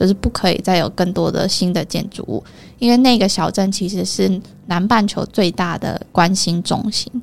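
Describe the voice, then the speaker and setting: A woman with an ordinary speaking voice keeps a moderate pace, a medium pitch and fairly even intonation. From Taiwan, Taichung. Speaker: travel company owner. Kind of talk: interview. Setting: studio.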